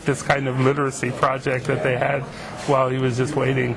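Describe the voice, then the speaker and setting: There is audible room echo and noticeable background noise as a man speaks. His pitch is fairly high and his pace is moderate. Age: 50s. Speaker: literacy teacher. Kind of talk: oral history interview. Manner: hesitant, with fillers.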